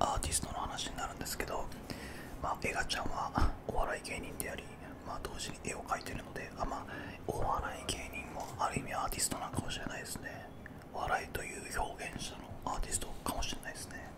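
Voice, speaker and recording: Amid loud background noise, a soft-spoken man whispers at a fairly quick pace. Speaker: streamer. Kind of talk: casual vlog chat. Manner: soft close-mic ASMR whisper. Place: home room. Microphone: studio mic.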